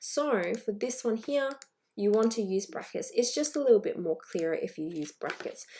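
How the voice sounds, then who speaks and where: A woman with fairly high pitch speaks at a moderate pace, her voice making very wide pitch swings. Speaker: math teacher. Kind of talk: lesson video.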